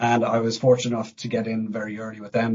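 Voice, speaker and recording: With an Irish accent, a man talks at a medium pitch. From Ireland, Dublin. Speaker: fire protection engineer. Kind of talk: podcast interview. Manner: hesitant, many fillers.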